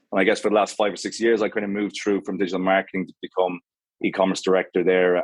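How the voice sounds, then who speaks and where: The man speaks with an Irish accent in a flat monotone. The sound is dry and close, with no echo. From Ireland, Galway. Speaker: menswear brand co-founder. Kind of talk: podcast interview. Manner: halting.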